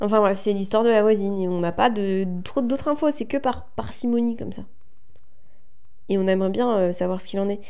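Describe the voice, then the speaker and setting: Her medium-pitched, dark, mellow voice comes at a fairly quick pace as this woman speaks amid audible room echo. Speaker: podcast co-host. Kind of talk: casual chat. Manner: fast.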